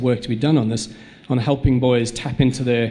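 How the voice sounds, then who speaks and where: A man with a South African accent at a fairly quick pace, with fairly even intonation. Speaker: school head. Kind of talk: panel discussion. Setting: stage with audience. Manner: halting, many repetitions.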